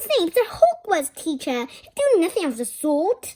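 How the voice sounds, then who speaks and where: Putting on a squeaky character voice, a woman speaks at an extremely high pitch with very wide pitch swings and big swings in loudness. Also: moderate pace. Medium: read story. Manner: gruff.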